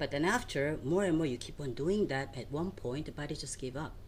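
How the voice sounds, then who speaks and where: Speaking at a fairly quick pace, a woman with a Korean accent uses a very deep, low pitch and ordinary pitch variation. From South Korea, Seoul. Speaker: nutrition and fitness coach. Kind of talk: interview. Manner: animated.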